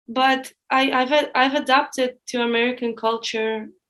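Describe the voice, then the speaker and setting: A woman with a Russian accent speaks in a high, monotone voice with flat intonation. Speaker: former student employee. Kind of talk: podcast interview.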